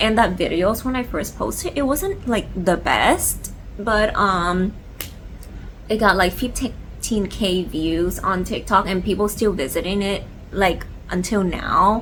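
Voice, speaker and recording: A woman speaks at a medium pitch with ordinary pitch variation and a fairly slow pace. Audible echo fills the room. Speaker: lifestyle vlogger. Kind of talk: casual chat. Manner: halting, many fillers; stuttering a little from cold.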